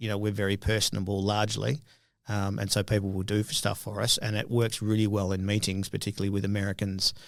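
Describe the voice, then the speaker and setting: A man with an Australian accent, fairly low in pitch, at a fairly quick pace in a flat monotone, on a very clean recording with a silent background. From Australia (Perth). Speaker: biotech entrepreneur. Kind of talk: interview.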